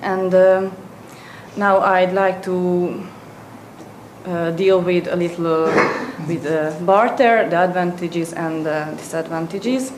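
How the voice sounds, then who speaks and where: In a Hungarian accent, a woman speaks very slowly at a medium pitch with fairly even intonation. Long, frequent pauses break up her speech, and noticeable background noise sits behind it. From Hungary. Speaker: presenter at an economics seminar. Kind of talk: lecture. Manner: halting.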